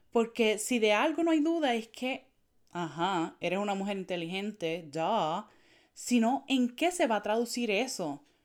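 A woman with a Puerto Rican accent speaks at a fairly slow pace in a fairly high pitch, swinging very widely in pitch, on a very clean recording over a silent background. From Puerto Rico, Naranjito. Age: 20s. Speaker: tech consultant for women entrepreneurs. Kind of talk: podcast monologue.

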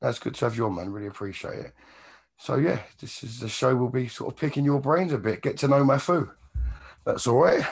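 A man's croaky, fairly quick delivery at a medium pitch, with vocal fry and a slightly husky edge. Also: ordinary pitch variation.

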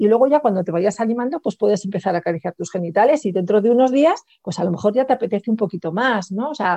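A woman speaks at a medium pitch in a dark, mellow tone with lively intonation. The sound is dry and close, with no echo. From Spain. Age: 50s. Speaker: sex coach. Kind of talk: interview.

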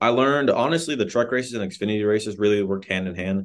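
A plain, everyday voice at a fairly quick pace. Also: man. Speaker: racing driver. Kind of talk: interview.

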